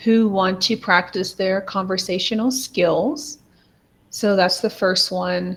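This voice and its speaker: Speaking with an American accent, a woman uses a medium pitch with ordinary pitch variation. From United States. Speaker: English tutor. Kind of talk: online tutoring call.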